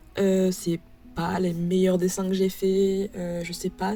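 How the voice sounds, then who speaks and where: Over music in the background, a woman speaks very slowly at a medium pitch in a flat, monotone delivery. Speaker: art youtuber. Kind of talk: casual chat. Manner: hesitant, many fillers.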